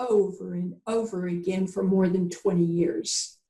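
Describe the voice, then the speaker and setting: A woman talks at a medium pitch with a somewhat breathy quality. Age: 70s. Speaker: visionary educator and author. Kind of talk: interview. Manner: halting.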